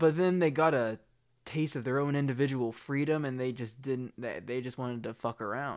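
In a very clean recording with a silent background, a man with a normal speaking voice talks at medium pitch and a moderate pace, using ordinary pitch variation. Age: 20s. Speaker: aspiring actor. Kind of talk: casual family chat.

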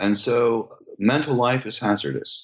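A man with an American accent and vocal fry. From US West Coast, California. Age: 70s. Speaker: psychoanalyst and author. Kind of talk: interview.

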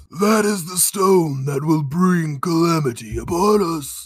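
Using a put-on character voice, a man speaks fairly slowly at a high pitch. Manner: dramatic, solemn, ominous.

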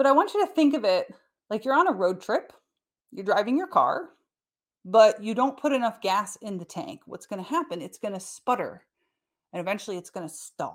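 A woman talks at a fairly quick pace with a fairly high pitch that swings very widely. Her loudness varies a lot, and she leaves long, frequent pauses. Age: 40s. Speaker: podcast host and wellness coach. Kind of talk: solo educational podcast talk. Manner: casual, conversational.

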